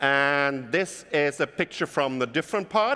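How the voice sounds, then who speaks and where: Speaking with a German accent, a man uses a fairly high pitch, lively intonation and a bright, sharp tone. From Germany. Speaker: keynote speaker. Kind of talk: keynote talk. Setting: stage with audience.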